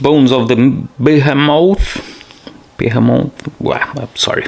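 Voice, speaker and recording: Fairly slow speech from a man, fairly high in pitch with fairly even intonation, amid noticeable background noise. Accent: non-native. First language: not English. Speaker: board game player showing gameplay. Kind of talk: solo board game playthrough tutorial. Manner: halting.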